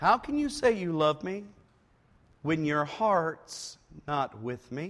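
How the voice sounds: Putting on a whiny character voice, a man speaks high in pitch at a fairly slow pace.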